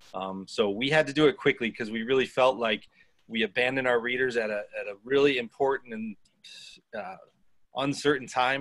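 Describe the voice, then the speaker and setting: Here a man speaks at a moderate pace. His pitch is medium, with fairly even intonation. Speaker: news publisher, nonprofit co-founder. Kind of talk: panel presentation. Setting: video call. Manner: hesitant, many fillers.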